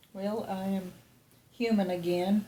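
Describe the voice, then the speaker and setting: Against noticeable background noise, a woman speaks at medium pitch in a flat monotone. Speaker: patient after deep brain stimulation surgery. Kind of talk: casual video update.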